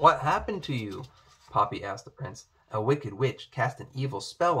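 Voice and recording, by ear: The intonation is lively while reading aloud in a natural voice.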